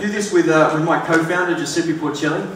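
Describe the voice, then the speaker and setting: A man with an Australian accent and fairly even intonation, with audible room echo and noticeable background noise. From Australia, Sydney. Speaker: startup co-founder. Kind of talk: conference presentation. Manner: hesitant, many fillers.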